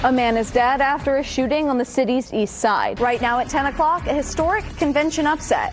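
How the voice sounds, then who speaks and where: A woman's voice at a fairly quick pace with ordinary pitch variation, against noticeable background noise. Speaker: TV news anchor. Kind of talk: news anchor montage.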